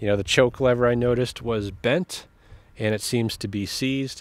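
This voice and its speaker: The man talks at a fairly slow pace with ordinary pitch variation, in a dry sound with no echo. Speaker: small engine repair channel host. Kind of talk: casual vlog chat. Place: street. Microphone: phone near.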